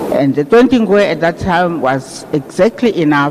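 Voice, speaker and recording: There is noticeable background noise. Over it, a man speaks at a moderate pace with lively intonation. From South Africa, raised in exile in Zambia. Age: 60s. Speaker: funeral speaker. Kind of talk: eulogy. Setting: funeral service.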